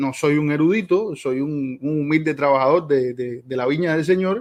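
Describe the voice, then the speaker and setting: This man has a fairly high pitch. His pitch varies in an ordinary way. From Cuba. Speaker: theology teacher, debater. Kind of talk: debate opening introduction. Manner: fast.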